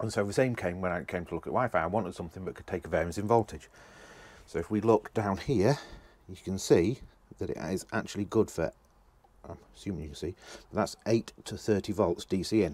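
A man's plain, everyday voice, fairly low-pitched and at a fairly quick pace, with ordinary pitch variation, big swings in loudness and a dry sound with no echo. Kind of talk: tutorial. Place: boat. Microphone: phone near.

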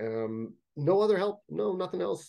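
A man with a Canadian accent speaks in a dark, mellow tone. His intonation is lively, over a quiet background. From Canada, Toronto (Jane and Finch area). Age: 30s. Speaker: fantasy writer. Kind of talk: casual interview chat. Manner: halting, many fillers and repetitions. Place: home room. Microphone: webcam.

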